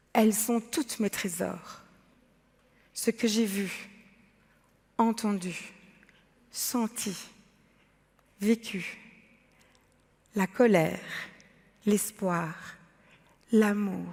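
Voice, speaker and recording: A woman talks at a very slow pace, with long, frequent pauses. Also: medium pitch for a woman. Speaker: artist and entrepreneur. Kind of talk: talk to a forum audience. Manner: loud, emphatic.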